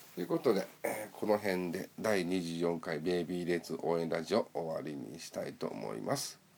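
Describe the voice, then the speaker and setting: Very deep and low, a man's voice carries vocal fry and lively intonation at a moderate pace. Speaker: fan radio host. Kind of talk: solo radio show, reading listener mail. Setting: solo recording.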